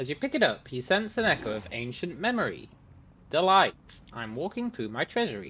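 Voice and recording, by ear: Natural-voiced reading aloud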